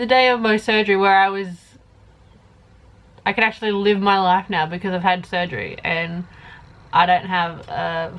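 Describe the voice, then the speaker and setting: With fairly even intonation, a woman delivers her words at a moderate pace. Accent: Australian. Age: 20s. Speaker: YouTuber. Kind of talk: casual Q&A vlog.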